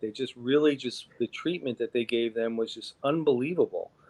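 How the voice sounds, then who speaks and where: This man speaks at a moderate pace, his pitch sitting in the middle range. The sound is dry and close, without any echo. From New York (Long Island). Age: 60s. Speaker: pianist and organist. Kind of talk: interview. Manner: halting.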